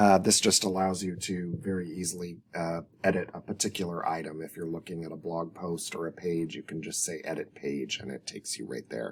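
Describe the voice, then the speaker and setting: Pitched very deep and low, a man's voice moves with ordinary pitch variation. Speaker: web designer. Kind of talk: tutorial. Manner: hesitant, many fillers.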